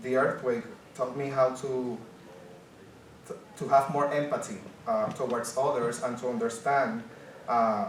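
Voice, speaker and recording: A man speaks with a Spanish accent at medium pitch and a fairly slow pace, with ordinary pitch variation and long, frequent pauses. Noticeable background noise and audible room echo fill the recording. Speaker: journalist. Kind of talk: conference panel presentation. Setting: conference panel with audience.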